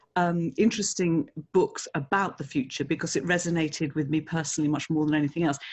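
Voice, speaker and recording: A woman with an English accent, a very deep, low pitch, a very fast pace, fairly even intonation and very even loudness. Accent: English-sounding. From England, Italian parents. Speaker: speaker bureau director. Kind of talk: podcast interview.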